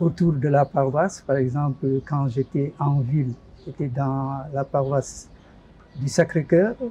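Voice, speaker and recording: A somewhat breathy man speaks very slowly with long, frequent pauses. His voice is fairly high, with ordinary pitch variation. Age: 70s. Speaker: retired parish lay association leader. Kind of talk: interview. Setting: studio.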